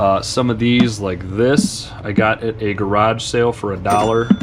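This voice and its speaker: Noticeable background noise sits behind the speaker. A man at medium pitch speaks fairly slowly with monotone, flat intonation. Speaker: online reseller. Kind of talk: casual vlog tutorial.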